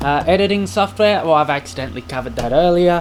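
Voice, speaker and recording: The intonation is lively, with noticeable background noise in the recording. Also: man. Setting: home video recording to camera. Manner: animated, jokey, with fillers.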